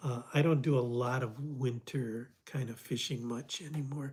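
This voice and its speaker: A somewhat breathy man's voice at medium pitch, with an American accent and fairly even intonation. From US Midwest, Detroit. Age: 70s. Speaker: fly fishing instructor. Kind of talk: livestream Q&A, reading viewer comments. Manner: halting, many fillers and restarts.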